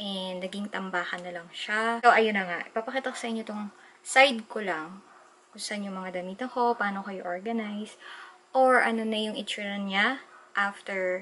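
A woman talks with fairly even intonation at a moderate pace while light background noise plays. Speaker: vlogger. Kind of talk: casual vlog chat. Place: home room. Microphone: camera far.

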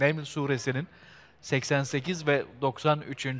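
A man's voice, fairly high in pitch. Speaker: TV host. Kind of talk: live TV presenting. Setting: outdoors. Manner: formal. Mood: warm, reflective, smiling. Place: street.

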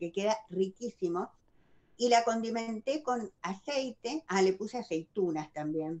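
Her fairly high voice has a dark, mellow tone, and this woman speaks at a fairly slow pace with lively intonation. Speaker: wellbeing speaker; speaker. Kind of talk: casual chat. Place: home room. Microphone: video call.

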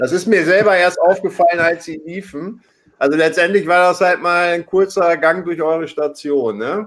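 With ordinary pitch variation, the delivery moves at a moderate pace. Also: man, high pitch for a man. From Hamburg. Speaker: online talk show host. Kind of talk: live talk show moderation. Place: home room. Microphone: webcam.

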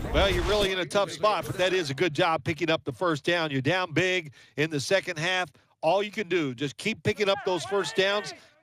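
With a bright, sharp tone and high pitch, a man moves at a fairly quick pace using ordinary pitch variation. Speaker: sports commentator.

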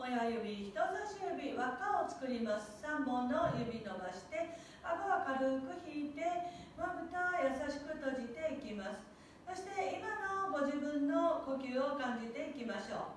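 Strong room echo surrounds a woman's high-pitched voice, with light background noise. She speaks at a fairly slow pace. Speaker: yoga instructor. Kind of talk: tutorial. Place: gym. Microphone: camera far.

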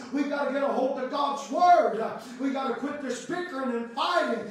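A man speaks at an extremely high pitch and a moderate pace. Strong room echo and light background noise fill the recording. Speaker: Baptist preacher. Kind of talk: sermon, preaching to a congregation with call-and-response amens. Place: church. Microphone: camera far.

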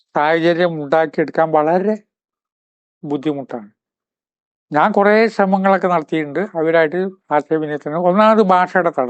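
The speech shows ordinary pitch variation and very even loudness throughout. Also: man, high pitch for a man. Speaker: spiritual speaker, writer. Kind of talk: motivational talk.

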